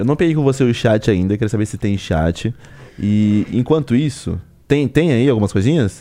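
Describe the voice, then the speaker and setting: On a very clean recording with a silent background, a man speaks at a medium pitch and moderate pace, his tone dark and mellow and his intonation lively. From Brazil, Suzano (São Paulo state). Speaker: podcast host. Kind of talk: casual chat. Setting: studio.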